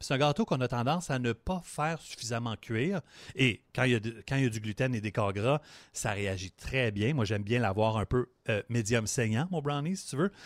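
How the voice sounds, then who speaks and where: A man talks at a medium pitch and moderate pace in an ordinary speaking voice, his intonation lively. The recording is very clean with a silent background, and the sound is dry and close with no echo. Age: 40s. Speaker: sports podcast co-host. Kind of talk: casual chat; tutorial.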